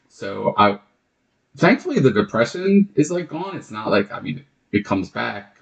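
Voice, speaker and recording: The voice shows vocal fry, very wide pitch swings and big swings in loudness at a moderate pace. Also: man, fairly high pitch for a man. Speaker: podcast guest. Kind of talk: casual chat.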